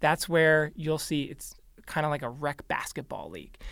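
A man with a fairly high pitch uses a normal speaking voice at a moderate pace on a very clean recording with a silent background. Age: 30s. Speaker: youth cycling nonprofit leader. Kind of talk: radio interview.

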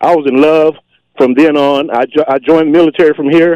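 Dark and mellow in tone, a man's fairly high voice moves at a very fast pace. The sound is dry and close with no echo. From Las Vegas. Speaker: military veteran and caller. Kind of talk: casual chat.

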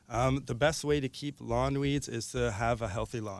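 With a Canadian accent, a man talks at a moderate pace. He has a normal speaking voice and fairly even intonation. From Ontario, Canada. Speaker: gardener. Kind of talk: casual chat. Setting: studio.

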